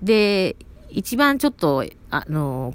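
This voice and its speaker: A woman speaks in a Kansai accent. The recording is very clean, with a silent background. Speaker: podcaster. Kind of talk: casual monologue. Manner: rambling, self-interrupting.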